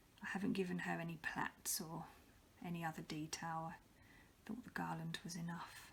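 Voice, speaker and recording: A woman speaks softly. Her pace is moderate. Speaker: polymer clay artist. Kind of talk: ASMR show and tell. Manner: soft-spoken.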